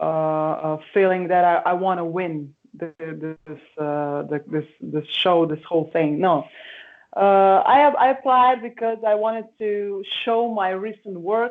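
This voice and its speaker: With a Slovenian accent, a woman speaks at a fairly slow pace using lively intonation. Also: medium pitch for a woman. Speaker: singer. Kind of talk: interview. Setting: video call. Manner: halting.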